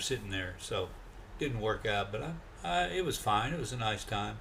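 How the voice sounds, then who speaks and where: A man's bright, sharp voice with lively intonation and an American accent, set against audible room echo. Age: 60s. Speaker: travel vlogger. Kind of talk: casual monologue.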